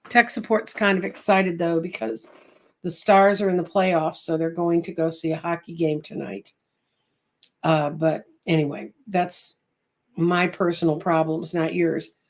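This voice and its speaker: With a New England accent, a woman speaks at a fairly slow pace, her fairly low pitch showing ordinary variation. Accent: Yankee. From US North. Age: 70s. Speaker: psychic reader. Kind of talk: livestream chat.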